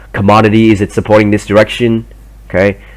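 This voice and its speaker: A man with a fairly low pitch and a non-native accent. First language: not English. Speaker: trading educator. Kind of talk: tutorial. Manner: halting; hesitant, many fillers.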